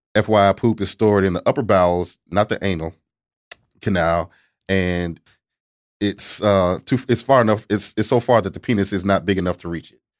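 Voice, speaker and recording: A man talks at a moderate pace in a normal speaking voice, his loudness swinging widely, with a dry, close sound and no echo. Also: fairly low pitch for a man, fairly even intonation, very clean recording, silent background. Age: 30s. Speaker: sex therapist. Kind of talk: casual chat. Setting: studio.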